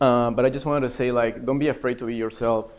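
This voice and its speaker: A man with a Spanish accent speaks at a fairly quick pace. His medium-pitched voice stays monotone and flat. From Peru. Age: 30s. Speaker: MBA student. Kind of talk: personal speech at open mic event. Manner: hesitant, many fillers.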